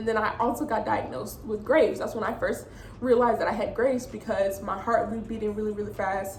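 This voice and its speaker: A woman talks at a very fast pace with a fairly high pitch and fairly even intonation. There is noticeable background noise and audible room echo. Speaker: vlogger. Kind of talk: personal story vlog.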